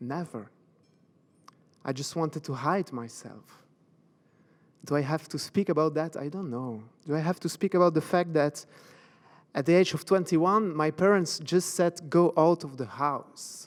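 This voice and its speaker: With a Belgian French accent, a man speaks at a moderate pace in a fairly high pitch, leaving long, frequent pauses. The recording is very clean, with a silent background. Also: ordinary pitch variation. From Belgium, French-speaking. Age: 40s. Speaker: motivational speaker and coach. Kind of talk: motivational talk. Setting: stage with audience. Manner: halting.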